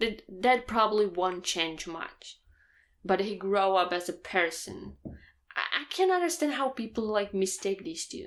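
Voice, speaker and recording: Speaking at a fairly slow pace with a non-native accent, a woman at medium pitch is heard on a very clean recording with a silent background. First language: not English. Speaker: anime manga reaction youtuber. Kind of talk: manga chapter reaction, casual solo talk.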